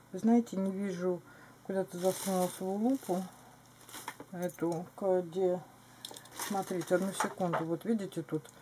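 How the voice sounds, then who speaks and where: Over noticeable background noise, a woman speaks at a fairly slow pace with long, frequent pauses. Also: fairly even intonation. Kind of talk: casual show-and-tell vlog. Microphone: camera far.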